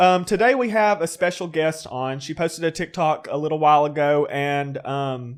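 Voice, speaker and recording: A man with an American accent talks at a moderate pace with hardly any pauses, his pitch fairly high and its variation ordinary. His is an unremarkable speaking voice, on a very clean recording with a silent background. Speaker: podcast host. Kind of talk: casual podcast banter.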